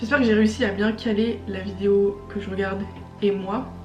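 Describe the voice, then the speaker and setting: A woman's monotone, flat voice with audible room echo and music in the background. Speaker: YouTuber. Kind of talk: casual vlog commentary. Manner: speaks loudly but cannot shout; casual with filler words.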